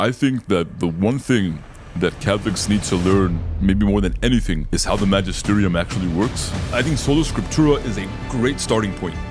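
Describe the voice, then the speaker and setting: Lively intonation colors a man's moderately paced speech, with music in the background. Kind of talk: interview answer.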